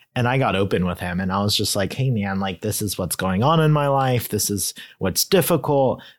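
The speaker has an unremarkable speaking voice with lively intonation and a fairly quick pace. There are hardly any pauses, and the recording is very clean with a silent background. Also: man, fairly low pitch for a man. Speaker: podcast host. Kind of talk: casual chat. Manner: joking.

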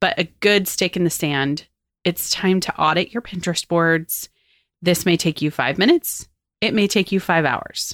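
A woman's normal speaking voice, fairly low in pitch with ordinary variation, at a moderate pace, in a dry, close sound with no echo. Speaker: podcast host and agency owner. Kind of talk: solo podcast tutorial.

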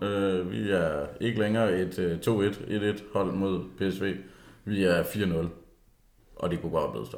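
With a fairly low pitch, a man speaks at a fairly slow pace with long, frequent pauses. His intonation is fairly even, and the room echo is audible. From South Jutland, Denmark. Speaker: football podcast co-host. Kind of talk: casual chat.

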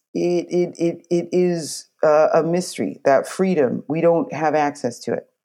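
Speaking fairly slowly in a Canadian accent, a woman has a dark, mellow tone and a fairly low pitch with ordinary variation. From New Brunswick, Canada. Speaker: opera singer. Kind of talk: casual interview chat. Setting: remote call from rural home.

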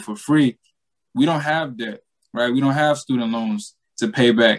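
The pace is moderate. A man is talking in a Southern US accent. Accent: Southern US (Georgia). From US South, Southeast Georgia. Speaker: money coach, former college football player. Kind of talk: casual interview.

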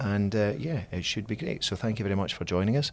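Over a very clean recording with a silent background, a man uses a normal speaking voice, fairly low in pitch, with lively intonation. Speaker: diocese communications director, podcast host. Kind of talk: interview, casual conversation.

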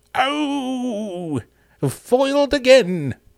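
The voice is a put-on character act. It sits fairly high in pitch. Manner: melodramatic, theatrical.

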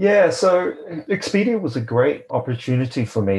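A man with a New Zealand accent speaks at a moderate pace in a dark, mellow tone. His pitch swings very widely. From New Zealand, Tauranga. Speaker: lawyer and company founder. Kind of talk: interview conversation.

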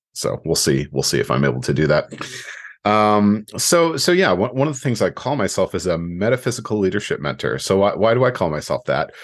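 A man talks at a fairly quick pace with fairly low pitch, vocal fry, and very wide pitch swings. His loudness stays very even. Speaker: coach and podcast host. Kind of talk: solo podcast monologue. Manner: halting, many fillers and repetitions.

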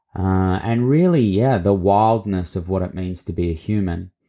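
In a very clean recording with a silent background, a man with an Australian accent speaks at a fairly low pitch in a dark, mellow tone with ordinary pitch variation. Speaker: podcast host and mentor. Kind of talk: solo podcast monologue, reintroduction.

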